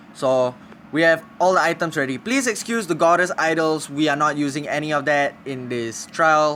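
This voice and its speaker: The speaker talks at a moderate pace with ordinary pitch variation. Noticeable background noise can be heard. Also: man, fairly high pitch for a man. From Singapore. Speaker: gaming streamer. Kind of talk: live stream gameplay commentary. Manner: casual, halting.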